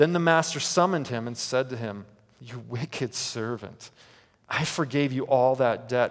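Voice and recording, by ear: Reading aloud in a natural voice, the pitch moving in an ordinary way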